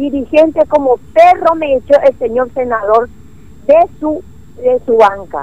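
A woman's high-pitched voice with a dark, mellow tone, lively intonation and a fairly slow pace. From Clorinda, Formosa, northeastern Argentina. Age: 60s. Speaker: neighborhood association representative. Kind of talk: phone-in complaint to radio. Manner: agitated, halting.

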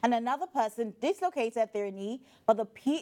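A woman has an unremarkable speaking voice with ordinary pitch variation at a moderate pace. The sound is dry and close, with no echo. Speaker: entertainment correspondent. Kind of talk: news report. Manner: upbeat, chatty.

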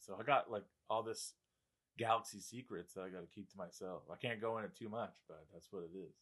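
This man has a normal speaking voice with a fairly low pitch. He talks at a fairly quick pace with ordinary pitch variation and big swings in loudness. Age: 20s. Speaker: factory worker. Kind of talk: casual chat.

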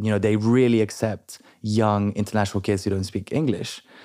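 On a very clean recording with a silent background, a man with a French accent speaks at a moderate pace in a dark, mellow tone with a fairly low pitch. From London. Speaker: entrepreneur. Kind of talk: interview.

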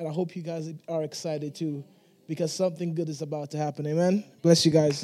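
With a dark, mellow tone, a man speaks at a high pitch and a moderate pace with fairly even intonation. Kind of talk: casual greeting. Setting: church.

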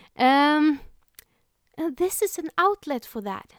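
With a Swedish accent, a woman's voice makes very wide pitch swings in a dry, close recording with no echo, very clean and with a silent background. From Sweden. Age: 20s. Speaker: podcaster. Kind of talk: solo podcast monologue, self-help. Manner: warm, earnest.

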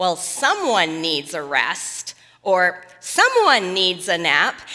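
Using a put-on character voice, a woman speaks at a very slow pace with a medium pitch. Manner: pointed, insinuating.

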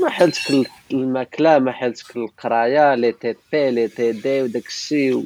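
Here is a normal speaking voice: a man at a medium pitch with fairly even intonation, speaking at a moderate pace. He hardly pauses, and the sound is dry and close with no echo. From Morocco, Beni Mellal. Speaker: topographic engineer and photographer. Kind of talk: casual interview.

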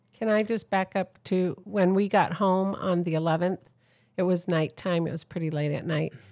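In a very clean recording with a silent background, a woman with an American accent uses a normal speaking voice at a medium pitch, moderate pace and fairly even intonation. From San Diego, California. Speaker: accident survivor, mother of the host. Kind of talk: casual chat. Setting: home recording.

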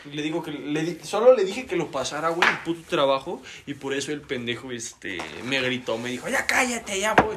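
A man with a Mexican accent and a fairly high pitch talks at a fairly quick pace with very wide pitch swings. There is noticeable background noise. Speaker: podcast guest. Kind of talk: casual chat.

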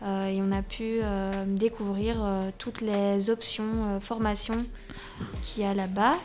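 Very slowly, a woman talks at a medium pitch. Her intonation is monotone and flat. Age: 20s. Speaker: youth project participant. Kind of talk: radio interview. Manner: halting.

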